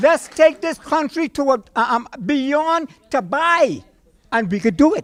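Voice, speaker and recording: A man speaks at an extremely high pitch, animated in tone and lively in intonation, at a fairly slow pace. The sound is dry and close with no echo. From Bahamas. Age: 60s. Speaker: audience member at town hall. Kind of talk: impassioned public speech. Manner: animated, forceful; halting, repeats words.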